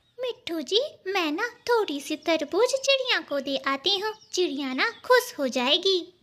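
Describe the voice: A woman puts on a cartoonish character voice at an extremely high pitch. She keeps a moderate pace with hardly any pauses.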